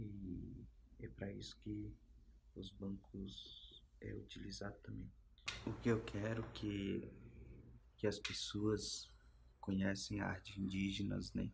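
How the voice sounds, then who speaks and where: With light background noise behind him, a man speaks at a very slow pace, leaving long, frequent pauses. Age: 30s. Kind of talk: interview answers. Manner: halting, with many fillers. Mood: calm, earnest. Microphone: phone near.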